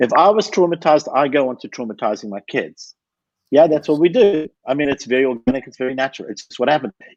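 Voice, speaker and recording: Speaking very fast with lively intonation, a man keeps a fairly high pitch. His loudness swings widely, and the sound is dry and close with no echo. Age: 60s. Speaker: anger management expert. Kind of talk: podcast interview. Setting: live video stream.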